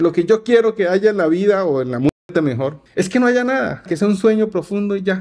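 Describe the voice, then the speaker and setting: A high-pitched male voice at a moderate pace, with ordinary pitch variation. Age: 40s. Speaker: youtuber. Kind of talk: casual monologue. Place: home room. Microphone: studio mic.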